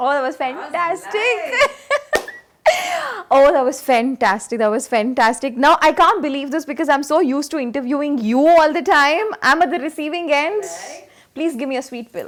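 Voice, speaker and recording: Over noticeable background noise, a woman speaks in a high voice with lively intonation and big swings in loudness. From India, Karnataka. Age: young. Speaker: radio jockey. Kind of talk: interview answer.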